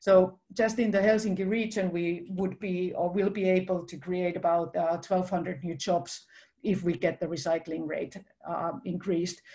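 A woman speaks at a moderate pace with fairly even intonation, her tone dark and mellow. Her voice is somewhat breathy against a quiet background. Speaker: chief innovation officer; presenter. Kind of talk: presentation. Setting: video call. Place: home room. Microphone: webcam.

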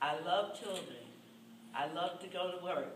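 A woman at a medium pitch, with noticeable background noise. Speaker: school crossing guard. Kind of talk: short acceptance speech. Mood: grateful, warm, honored. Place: meeting room. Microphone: camera far.

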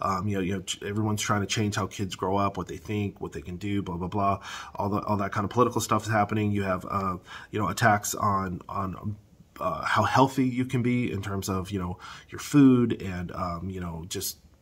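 A man talks at a fairly quick pace. His pitch is fairly low and his intonation fairly even. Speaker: housing market commentator. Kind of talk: casual vlog commentary. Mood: agitated, opinionated. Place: home room. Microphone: phone near.

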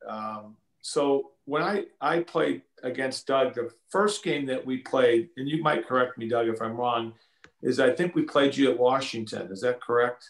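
A man at a fairly slow pace, with audible room echo over a quiet background. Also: ordinary pitch variation. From US Midwest. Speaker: former college basketball player; guest. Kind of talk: casual chat. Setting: video call. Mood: relaxed, friendly. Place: home room. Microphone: video call.

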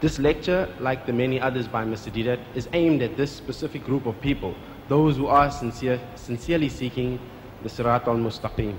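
Light background noise sits behind a man's voice. He talks at a fairly quick pace with ordinary pitch variation. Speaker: event host. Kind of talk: formal introduction. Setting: stage with audience. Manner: formal. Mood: respectful, earnest. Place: hall. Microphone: podium.

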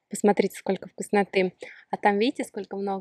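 A woman's voice, dry with no echo, against a quiet background. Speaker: vlogger. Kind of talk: casual vlog chat. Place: open country. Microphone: phone near.

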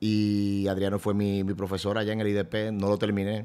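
A man's dark, mellow tone at a fairly low pitch. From Dominican Republic. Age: 40s. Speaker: event host and radio presenter; event host, radio presenter. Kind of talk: casual chat. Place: studio. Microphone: studio mic.

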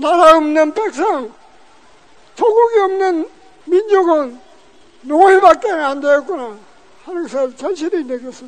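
A man speaks at a very slow pace in an extremely high pitch, with lively intonation. Long, frequent pauses break up his speech. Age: 80s+. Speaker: forced labour survivor. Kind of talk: testimony speech at a rally. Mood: solemn, grave remembrance. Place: street. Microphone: handheld.

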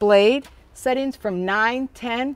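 In an American accent, a woman speaks at a high pitch, recorded dry with no echo. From US Midwest, Wisconsin. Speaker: horse riding instructor and equestrian; horse riding instructor. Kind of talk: product demonstration. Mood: calm, gentle. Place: open country.

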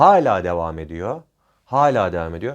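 Against a quiet background, a man talks at a fairly slow pace. His pitch swings very widely. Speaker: private security trainer and YouTuber. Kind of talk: informal tutorial. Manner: improvised, with frequent fillers.

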